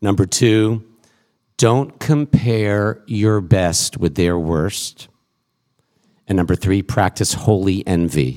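A man with an American accent speaks in a dark, mellow tone at a fairly low pitch with ordinary pitch variation. His pace is very slow, with long, frequent pauses. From Massachusetts. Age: 50s. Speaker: rabbi. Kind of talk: panel discussion. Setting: stage with audience.

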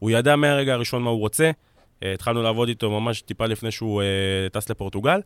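The man speaks at a very fast pace with a medium pitch and ordinary pitch variation, the sound dry and close with no echo. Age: 20s. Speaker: football scout and analyst. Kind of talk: casual chat. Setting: studio.

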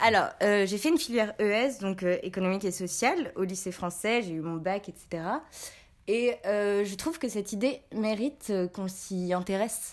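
A woman talks at a moderate pace in a normal speaking voice. Her pitch is medium, with ordinary pitch variation. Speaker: student. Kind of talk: casual debate.

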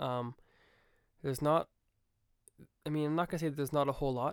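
A man talks at a very fast pace in an upbeat tone. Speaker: podcast host and music student. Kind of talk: casual solo podcast monologue. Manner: fast talker, upbeat, filler words.

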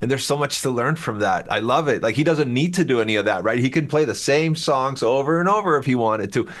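At a very fast pace with hardly any pauses, a man of medium pitch speaks in lively intonation at a very even loudness. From Chile. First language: Spanish. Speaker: rock musician. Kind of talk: casual chat.

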